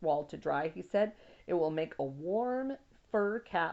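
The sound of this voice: The speaker reads in an unforced voice, and the intonation is lively.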